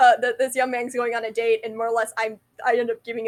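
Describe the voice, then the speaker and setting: Mumbling at a very fast pace, a woman talks at a fairly high pitch. The sound is dry and close with no echo. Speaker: vlogger. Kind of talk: casual monologue.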